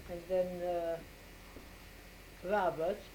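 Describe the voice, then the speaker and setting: A woman's fairly low-pitched voice moves at a very slow pace. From Austria, Vienna. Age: 80s+. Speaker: grandmother interviewed by family. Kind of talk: family interview.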